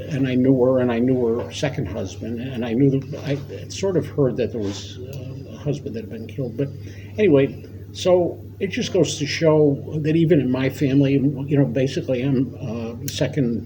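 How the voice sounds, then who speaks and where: Audible room echo and noticeable background noise surround the recording. A man talks at medium pitch in an American accent. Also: ordinary pitch variation, moderate pace. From New York State, US. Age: 70s. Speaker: war veteran. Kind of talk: oral history interview. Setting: library. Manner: halting.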